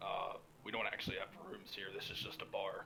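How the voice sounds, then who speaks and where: A man does a put-on character voice at a fairly quick pace. Background noise is clearly heard. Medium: actual play.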